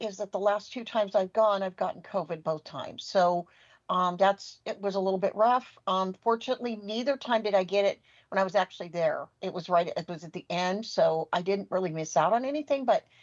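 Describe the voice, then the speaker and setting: A woman with an American accent talks at a fairly quick pace. Her voice sits at a medium pitch with ordinary pitch variation. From US West Coast, California Bay Area. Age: 60s. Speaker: assistive technology instructor. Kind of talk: podcast interview.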